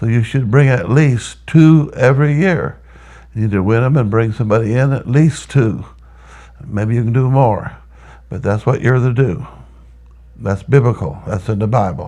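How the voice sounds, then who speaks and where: A man with a dark, mellow tone, a moderate pace and long, frequent pauses. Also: medium pitch for a man, ordinary pitch variation. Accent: American. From Texas. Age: 80s+. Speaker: church planter and pastor. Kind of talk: interview testimony. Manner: halting, repetitive.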